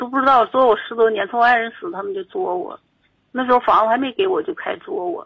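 This woman talks at a very fast pace in a high pitch. Her pitch swings very widely. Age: 60s. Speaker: caller. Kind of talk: phone-in call about a family dispute. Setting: phone call.

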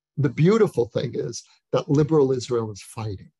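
A man's somewhat breathy voice with lively intonation at a moderate pace, dry and close with no echo. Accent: American. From USA. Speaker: author and lecturer. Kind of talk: interview on Zoom. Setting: video call.

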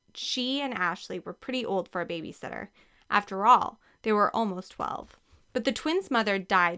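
Simple, plain reading aloud

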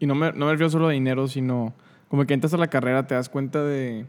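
The voice moves at a moderate pace with a monotone, flat intonation. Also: man. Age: 20s. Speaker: podcast host. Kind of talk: casual chat.

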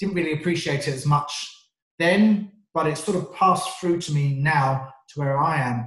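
This man has a southern English accent and a fairly high pitch. His pace is moderate, with ordinary pitch variation. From England, North London. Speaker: sales trainer. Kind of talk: interview.

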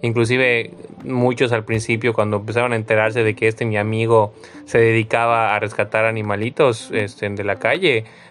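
A man talks at a moderate pace. His medium-pitched voice stays in a flat monotone. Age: 30s. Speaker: podcast host. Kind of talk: casual chat.

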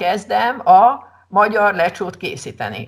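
Lively intonation marks this woman's medium-pitched voice. She speaks with vocal fry. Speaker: secondary school teacher. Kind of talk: casual interview chat.

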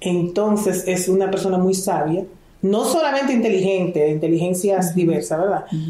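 A woman at a moderate pace, very even in loudness, with audible room echo. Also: medium pitch for a woman, ordinary pitch variation. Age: 50s. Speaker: dentist and entrepreneur mentor. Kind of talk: interview conversation.

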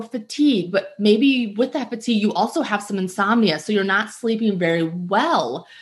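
Her intonation is lively. The woman's voice comes across as somewhat breathy. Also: quiet background. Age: 40s. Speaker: podcast host and health coach. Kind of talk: solo podcast talk. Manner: casual with fillers.

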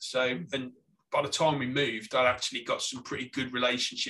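In a Staffordshire accent, the speaker goes at a fairly quick pace with a bright, sharp tone and monotone, flat intonation. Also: man. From Staffordshire, England. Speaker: graphic designer and podcaster. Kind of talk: casual interview chat.

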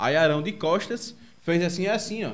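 Here a man talks. The rise and fall of his pitch is ordinary. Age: 20s. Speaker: podcast host. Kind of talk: casual chat. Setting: video call. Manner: halting.

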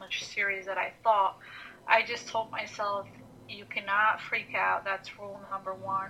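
A woman with an Albanian accent speaks at medium pitch and a moderate pace in a monotone, flat way, with noticeable background noise. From Montenegro. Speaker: guest. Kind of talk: casual chat.

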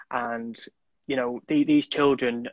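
A man speaks at a moderate pace and medium pitch in a Mancunian accent, with monotone, flat intonation. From Manchester, England. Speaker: charity runner. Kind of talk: casual chat interview.

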